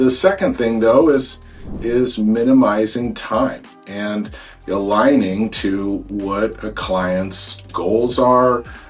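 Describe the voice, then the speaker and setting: Over music in the background, a man with a Pacific Northwest accent and medium pitch speaks at a very slow pace with ordinary pitch variation. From Seattle area, Washington (Snohomish County). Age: 40s. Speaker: real estate agent. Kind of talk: informal promotional explainer to camera. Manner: casual, many fillers and repetitions.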